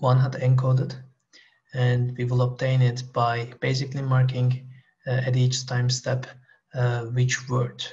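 The voice is monotone, with flat intonation. It sounds somewhat breathy. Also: man, quiet background. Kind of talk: lecture. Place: home room. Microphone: headset.

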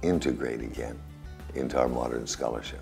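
A man's very deep, low voice with fairly even intonation and faint music in the background. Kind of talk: interview answer. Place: office.

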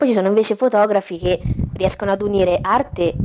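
Over noticeable background noise, a woman talks at a fairly quick pace with ordinary pitch variation. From Italy, Umbria (Gualdo Tadino); Umbria, Italy. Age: 20s. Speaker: photographer; interview guest. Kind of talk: talk show interview. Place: home room.

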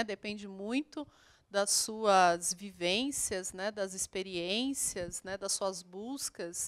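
In a quiet background, a woman talks at a very slow pace and a medium pitch. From Brazil, Minas Gerais (Poços de Caldas); Minas Gerais, Brazil. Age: 30s. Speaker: geography teacher. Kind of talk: online lesson for school pupils. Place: studio. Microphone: handheld.

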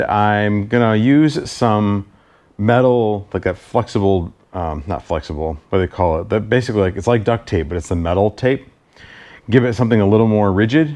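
In a plain, everyday voice, a man speaks at a moderate pace with a fairly low pitch and ordinary pitch variation. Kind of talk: casual DIY tutorial chat. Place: garage.

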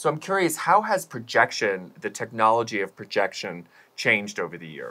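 Bright and sharp in tone, a man's medium-pitched voice swings very widely in pitch. His loudness shifts a lot, at a moderate pace. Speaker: arts festival co-founder and show co-host. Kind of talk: casual chat. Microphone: lapel.

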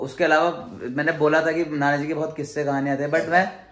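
Room echo is audible as a man talks at a moderate pace. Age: 20s. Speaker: vlogger. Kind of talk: casual vlog narration.

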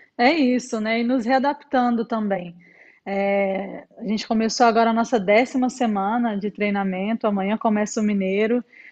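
Her pitch is fairly high for a woman, with fairly even intonation. She talks at a moderate pace. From Brazil. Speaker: volleyball player; guest. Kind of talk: casual chat. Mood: cheerful, relaxed. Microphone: earbuds.

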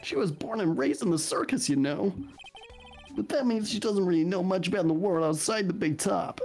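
A man's strained, high-pitched put-on character voice at a fairly quick pace, with clear music in the background. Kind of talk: comic overacting. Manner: jokey, showman.

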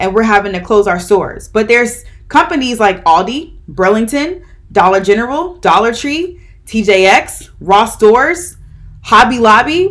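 A woman's lively intonation rides along at a moderate pace. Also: quiet background. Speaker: vlog host. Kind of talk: commentary. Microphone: phone near.

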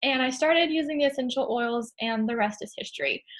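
Against a quiet background, a woman speaks in a high pitch with ordinary pitch variation. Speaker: host of a product class. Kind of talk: online class presentation. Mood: friendly, earnest. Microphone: webcam.

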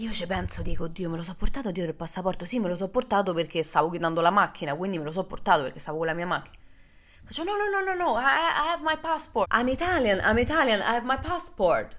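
A woman speaks very fast in an animated tone at a medium pitch. Her pitch swings very widely. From Rome, Italy; Italy. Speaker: podcast host and social media creator; podcast host, social media creator. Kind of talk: casual monologue. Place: home room. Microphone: studio mic.

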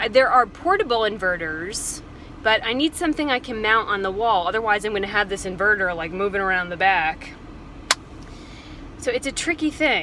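A woman speaks in a dry recording with no echo, and noticeable background noise runs underneath. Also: moderate pace. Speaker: van life vlogger. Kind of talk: casual vlog chat. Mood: frustrated but composed. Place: car. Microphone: phone near.

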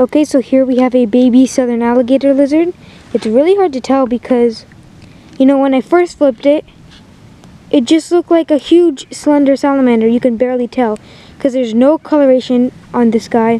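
Talking at a fairly quick pace, a woman with a high pitch uses ordinary pitch variation in a dry recording with no echo. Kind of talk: casual field commentary. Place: open country.

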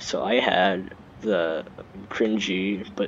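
A man talks against noticeable background noise. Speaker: gaming YouTuber. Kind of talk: casual gameplay commentary. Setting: home recording with PC mic. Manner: halting, filler-heavy.

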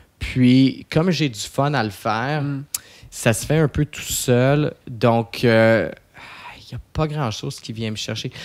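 Against a quiet background, a man speaks at a very slow pace and medium pitch, with ordinary pitch variation and big swings in loudness. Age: 30s. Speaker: posturologist; podcast guest. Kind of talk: casual interview. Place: studio. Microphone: studio mic.

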